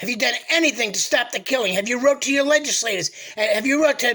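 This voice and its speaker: A man's raised, projected voice with an American accent, extremely high pitch, a bright, sharp tone, lively intonation and a fairly quick pace. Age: 60s. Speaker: political commentator vlogger. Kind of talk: political monologue. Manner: animated.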